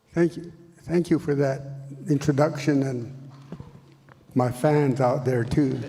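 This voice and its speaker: Noticeable background noise sits behind a man with a fairly high voice and fairly even intonation. He talks at a fairly slow pace with long, frequent pauses. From Northern Cheyenne Reservation, Montana, US. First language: Cheyenne. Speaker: language educator. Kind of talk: panel talk.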